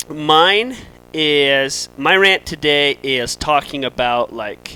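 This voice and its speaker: Loud and fairly high-pitched, this man's voice carries a bright, sharp tone. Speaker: firefighter. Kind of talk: casual chat.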